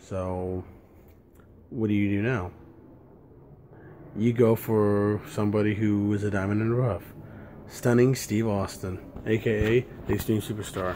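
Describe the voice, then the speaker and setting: Soft-spoken and fairly low in pitch, a man talks at a fairly slow pace in a monotone, flat delivery with long, frequent pauses. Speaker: wrestling history video maker. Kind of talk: casual vlog monologue. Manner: soft-spoken, keeping voice down.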